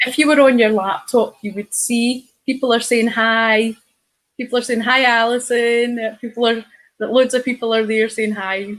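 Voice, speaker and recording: A woman with a Scottish accent, fairly high in pitch, in a monotone, flat intonation at a moderate pace. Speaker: online show host. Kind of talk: casual chat.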